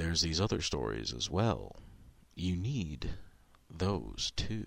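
A man's put-on character voice, very deep and low in pitch, at a fairly slow pace with very wide pitch swings. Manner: pushy, upselling, mocking.

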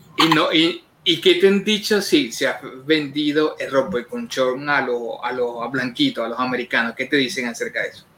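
Noticeable background noise behind a man's lively intonation, fairly high pitch, and moderate pace. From Venezuela, Carabobo. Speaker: online show co-host. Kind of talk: casual interview.

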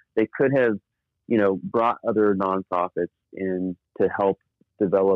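With an American accent and an ordinary speaking voice, a man talks at a fairly low pitch with fairly even intonation. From US Southwest (northern New Mexico). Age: 40s. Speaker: nonprofit leader. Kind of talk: interview.

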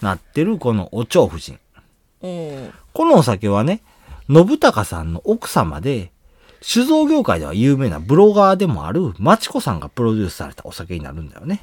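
At a moderate pace and medium pitch, a man with a Kansai accent makes very wide pitch swings and big swings in loudness, in a dry, close sound with no echo. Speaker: podcast host. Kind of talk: casual chat.

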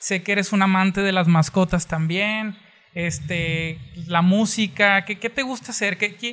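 Speaking at a fairly slow pace, a man uses a high pitch, a bright, sharp tone and ordinary pitch variation. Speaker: podcast host. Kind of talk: interview.

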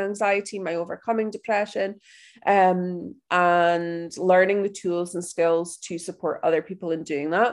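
A woman talks with fairly even intonation at a moderate pace, the background quiet. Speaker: wellness podcast host and anxiety coach. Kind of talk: personal monologue. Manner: hesitant, many fillers.

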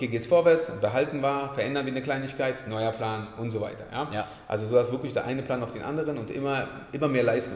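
Over noticeable background noise and audible room echo, a man speaks very fast at a medium pitch with fairly even intonation. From Berlin, Germany. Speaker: personal trainer and gym owner. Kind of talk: casual chat.

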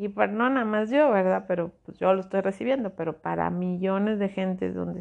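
At a moderate pace, a woman with a medium pitch speaks against a quiet background. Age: 40s. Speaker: spiritual podcast host, angel therapist. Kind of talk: solo spiritual talk.

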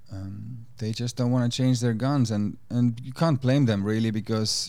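At a fairly slow pace, a man talks in an unremarkable speaking voice of medium pitch. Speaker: musician and chef. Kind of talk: casual interview chat. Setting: podcast studio.

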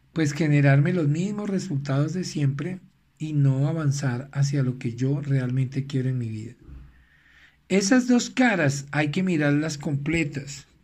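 A man speaks at a fairly slow pace with a fairly high pitch, somewhat breathy, and ordinary pitch variation. The recording is very clean, with a silent background. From Venezuela. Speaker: life coach. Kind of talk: recorded motivational talk.

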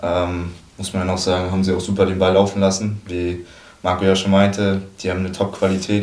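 A man with a fairly low pitch talks at a very fast pace in a monotone, flat intonation, with audible room echo and noticeable background noise. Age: 20s. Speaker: football goalkeeper. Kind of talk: casual chat.

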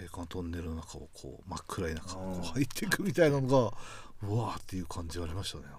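The speaker talks at a very fast clip with lively intonation, big swings in loudness, a somewhat breathy quality and audible room echo. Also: man, very deep, low pitch for a man. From Hokkaido, Ishikari. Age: 40s. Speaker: broadcast writer. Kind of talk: casual chat.

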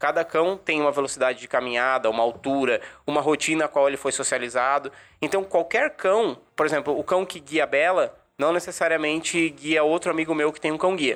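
On a very clean recording with a silent background, a man in a normal speaking voice talks at a fairly quick pace and a fairly high pitch, with ordinary pitch variation. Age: 20s. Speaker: guide dog user, journalism student. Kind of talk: podcast interview.

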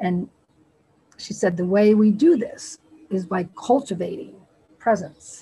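Speaking with an American accent, a woman has a medium pitch and a somewhat breathy sound with lively intonation. She goes at a fairly slow pace, with long, frequent pauses. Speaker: spiritual community member. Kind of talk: group discussion sharing. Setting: video call.

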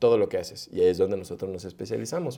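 Heard on a very clean recording with a silent background, a man speaks in a dark, mellow tone with ordinary pitch variation. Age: 30s. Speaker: web developer. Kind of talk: casual interview.

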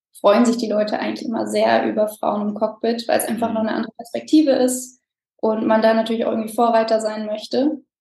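A woman talks at a very fast pace in a flat monotone. Her pitch sits fairly high. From Germany, near Frankfurt. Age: 20s. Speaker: airline co-pilot. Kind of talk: interview.

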